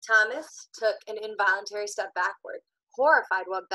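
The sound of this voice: In an unforced reading voice with lively intonation, the speaker reads over a quiet background.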